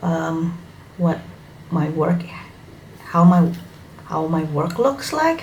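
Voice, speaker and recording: Someone with an Indonesian accent talks at a very slow pace with long, frequent pauses and ordinary pitch variation, amid noticeable background noise and audible room echo. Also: woman, fairly low pitch for a woman. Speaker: hobby YouTuber. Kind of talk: casual vlog introduction. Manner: halting, with fillers.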